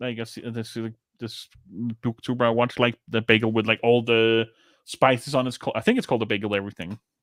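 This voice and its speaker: With a non-native accent, a man speaks fairly quickly at a medium pitch, his voice dry and close with no echo. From outside the US. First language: not English. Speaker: podcast co-host. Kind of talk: casual chat.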